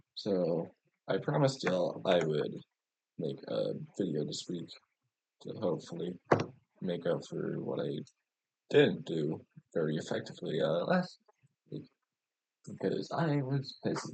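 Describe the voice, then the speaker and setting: Soft-spoken, a man talks at a fairly slow pace with long, frequent pauses. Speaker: competitive video game coach and analyst. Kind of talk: tutorial. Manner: soft, ASMR-like quiet speaking; casual, loose with fillers.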